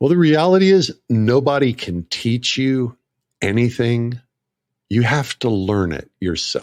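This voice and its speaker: A man with an American accent in a normal speaking voice, medium in pitch, at a fairly slow pace with lively intonation, on a dry, close sound with no echo and a quiet background. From US, northeast Oklahoma. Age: 60s. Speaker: marketer and ad writer. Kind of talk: casual interview chat.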